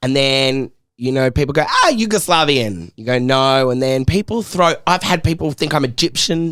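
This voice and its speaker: With an Australian accent, a man talks at a fairly high pitch with lively intonation and hardly any pauses. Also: moderate pace. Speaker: podcast host. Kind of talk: casual chat. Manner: animated.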